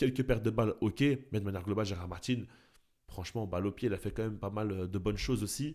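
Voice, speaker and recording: Very fast and fairly low in pitch, a man speaks in a dark, mellow tone on a very clean recording with a silent background. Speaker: football YouTuber. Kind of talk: video commentary. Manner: animated.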